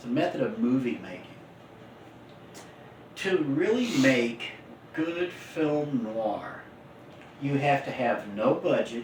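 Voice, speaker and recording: A man with a fairly high pitch and very wide pitch swings speaks at a fairly slow pace amid noticeable background noise. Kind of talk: casual podcast-style talk with co-host.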